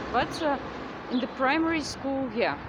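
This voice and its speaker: A woman with a high-pitched voice is heard with audible room echo over noticeable background noise. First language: Russian. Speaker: vlogger. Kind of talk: casual vlog monologue. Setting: outdoors, windy. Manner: halting, many fillers.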